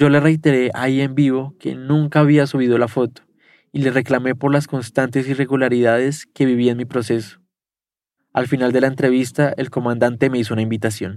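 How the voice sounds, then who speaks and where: On a very clean recording with a silent background, a man speaks fairly quickly at a medium pitch with monotone, flat intonation. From Colombia. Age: 20s. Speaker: journalist. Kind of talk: first-person narration.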